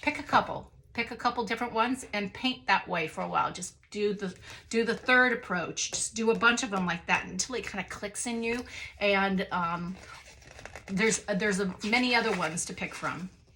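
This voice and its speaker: Amid noticeable background noise, a woman talks at a moderate pace and medium pitch in an animated tone with ordinary pitch variation. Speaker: artist and art book reviewer. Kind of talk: casual video review of art books.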